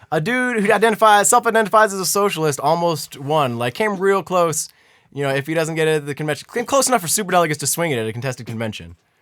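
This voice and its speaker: A loud, animated man talks at a very fast pace in a high voice with very wide pitch swings. The recording is very clean, with a silent background. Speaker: political podcast co-host. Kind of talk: casual political debate.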